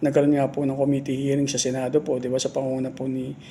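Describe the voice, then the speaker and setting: Soft-spoken, a man talks at a fairly high pitch. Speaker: political commentary vlogger. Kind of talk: casual political commentary. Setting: office. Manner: halting.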